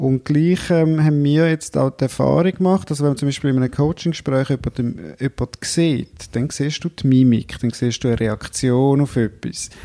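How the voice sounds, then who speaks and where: At a moderate pace with hardly any pauses, a man with a fairly high pitch and a dark, mellow tone speaks at very even loudness and ordinary pitch variation, in a dry, close sound with no echo. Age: 40s. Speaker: entrepreneur, coach. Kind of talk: interview.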